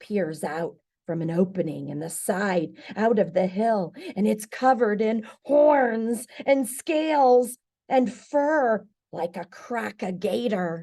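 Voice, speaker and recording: This female-sounding voice is a put-on character voice at medium pitch. The tone is dramatic, and the pace fairly slow. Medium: read story. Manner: folksy, dramatic.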